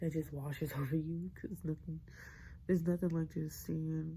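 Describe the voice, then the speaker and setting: A woman whispering. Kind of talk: ASMR whisper ramble. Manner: whispered.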